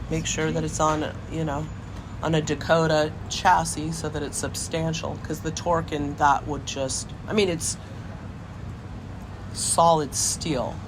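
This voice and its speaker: A woman with an American accent speaks at a very deep, low pitch and a fairly slow pace, with fairly even intonation and long, frequent pauses. Noticeable background noise sits behind her. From Lafayette, California. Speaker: car enthusiast and rebuilder. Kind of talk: oral history interview answer.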